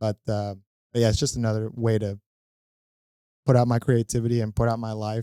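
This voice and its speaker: A man with a Spanish accent, medium pitch and a dark, mellow tone, fairly quick pace broken by long, frequent pauses, monotone, flat intonation, very clean recording with a silent background and a dry, close sound with no echo. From Venezuela, then Fort Lauderdale, Florida from age seven. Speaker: comedian and real estate investor. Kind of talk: casual interview chat.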